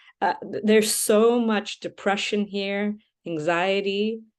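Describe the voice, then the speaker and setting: A woman with an American accent speaks at a very slow pace in a medium pitch. The background is quiet. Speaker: podcast host. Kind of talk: interview conversation. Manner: halting.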